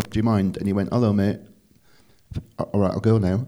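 In a northern English accent, a man speaks with a fairly low pitch. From northern England. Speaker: comedy venue manager. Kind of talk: casual chat.

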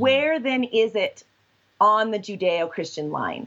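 Lively intonation colors this voice with a West Coast accent. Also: woman. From Washington and Southern California, US. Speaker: sexologist and professor. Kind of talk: interview.

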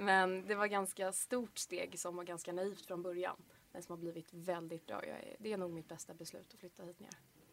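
Her intonation monotone and flat, a woman speaks at a medium pitch and a moderate pace. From Swedish west coast, Bohuslän. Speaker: university student. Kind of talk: casual chat.

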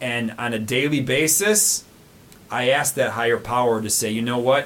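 A medium-pitched man with an American accent, an ordinary speaking voice, lively intonation and a moderate pace. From US. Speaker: recovering alcoholic. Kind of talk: personal testimony interview.

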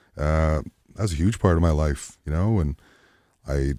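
This man's pitch rises and falls in an ordinary way. The recording is very clean, and the background is silent. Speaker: singer-songwriter. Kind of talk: casual interview chat. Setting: studio.

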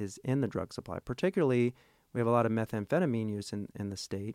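Heard on a very clean recording with a silent background, the voice has a dry, close sound with no echo, an American accent and a fairly quick pace. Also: man. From Oklahoma (Tulsa). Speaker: professor, researcher. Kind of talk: interview. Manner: hesitant, many fillers.

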